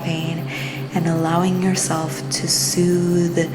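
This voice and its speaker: Music plays in the background as a woman speaks at a fairly low pitch. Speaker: spirituality and mindfulness channel host. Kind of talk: casual talk to camera.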